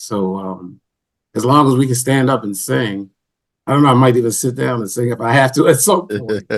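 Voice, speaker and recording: In an ordinary speaking voice, a man talks at a moderate pace and a medium pitch with ordinary pitch variation. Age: 60s. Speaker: band member, musician. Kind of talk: interview.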